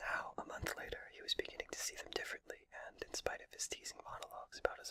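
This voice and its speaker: A man whispering at a very fast pace amid noticeable background noise. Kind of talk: whispered audiobook-style reading of a novel. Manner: whispered.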